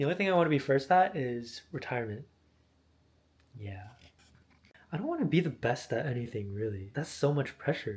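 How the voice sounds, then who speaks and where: In an American accent, a man with a fairly high, somewhat breathy voice and lively intonation speaks at a fairly quick pace, taking long, frequent pauses, on a very clean recording with a silent background. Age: 20s. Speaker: vlogger. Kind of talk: casual vlog monologue. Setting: at home.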